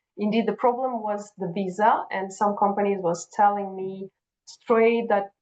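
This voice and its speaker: A woman speaks with a Russian accent at a medium pitch. Her pace is moderate and her intonation fairly even. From Kazakhstan. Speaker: HR and recruiting professional. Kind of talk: interview conversation.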